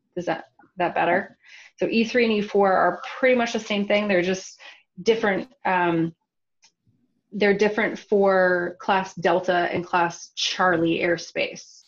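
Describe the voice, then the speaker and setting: This woman has an ordinary speaking voice with medium pitch. Her intonation stays fairly even. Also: fairly slow pace. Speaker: drone airspace presenter. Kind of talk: webinar lecture with Q&A.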